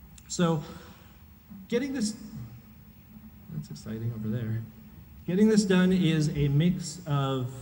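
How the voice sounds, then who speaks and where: A man's fairly high voice of dark, mellow tone, very wide pitch swings, a very slow pace and long, frequent pauses, with audible room echo. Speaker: conference speaker, software engineer. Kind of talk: conference talk.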